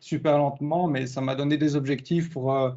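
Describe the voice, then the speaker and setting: This man speaks at a fairly quick pace in a fairly high pitch. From southern Belgium, Charleroi. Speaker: IT consultant, conference speaker. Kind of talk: conference talk. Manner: casual, lively.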